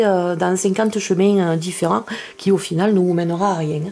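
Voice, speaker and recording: Music runs behind the speech. The woman's delivery is fairly slow. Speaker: tarot card reader. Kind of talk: tarot reading video. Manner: hesitant, many fillers.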